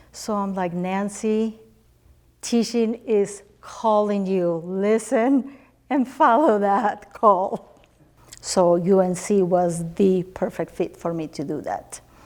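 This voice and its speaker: Using a Spanish accent, a woman speaks very slowly. Her pitch is medium, with ordinary variation. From Spanish-speaking country, immigrated to US. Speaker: teacher. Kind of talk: interview.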